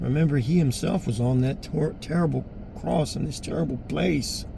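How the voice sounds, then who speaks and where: Audible room echo surrounds a man at a moderate pace. His pitch is medium, with ordinary variation. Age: 60s. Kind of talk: personal appeal monologue. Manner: halting.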